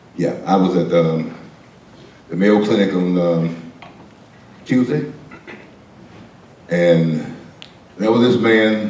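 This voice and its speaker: A man with a very deep, low pitch speaks very slowly, with long, frequent pauses, lively intonation and very even loudness. Noticeable background noise and audible room echo fill the recording. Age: 60s. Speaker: pastor. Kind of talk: storytelling to a class. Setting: classroom.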